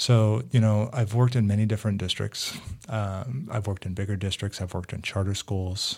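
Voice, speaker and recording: A man with an American accent, fairly low in pitch, somewhat breathy, at a fairly quick pace with ordinary pitch variation. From US, Greek American family. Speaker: school district technology director. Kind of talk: casual interview.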